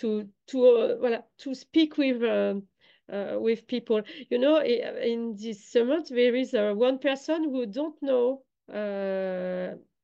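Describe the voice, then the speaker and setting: The voice has a French accent and ordinary pitch variation. The pace is very slow. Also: woman, high pitch for a woman. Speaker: online summit organizer. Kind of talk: online interview. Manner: halting, many hesitations.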